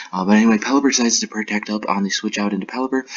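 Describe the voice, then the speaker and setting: A quiet man with fairly low pitch and a monotone, flat intonation. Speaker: Pokemon battle league commentator. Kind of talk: recap commentary. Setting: apartment room. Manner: quiet, keeping voice down.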